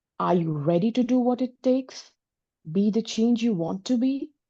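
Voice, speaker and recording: With a dark, mellow tone and lively intonation, a woman talks at a fairly slow pace. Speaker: workshop participant. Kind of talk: reading aloud own writing. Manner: slower on second reading.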